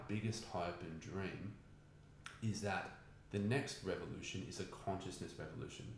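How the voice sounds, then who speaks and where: A man with an Australian accent talks at a moderate pace in a fairly low pitch. Background noise is noticeable. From Australia, Newcastle NSW. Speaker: meditation teacher. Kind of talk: casual chat.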